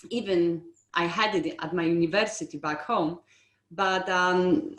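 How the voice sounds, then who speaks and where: A woman's medium-pitched voice with a non-native accent and lively intonation. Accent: foreign. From outside the UK. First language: not English. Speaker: estate agency owner. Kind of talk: interview.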